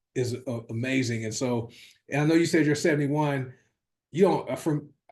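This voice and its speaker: Somewhat breathy, a man talks at a fairly quick pace with a fairly high pitch and ordinary pitch variation. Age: 50s. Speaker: wellness product sales coach. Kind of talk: casual chat.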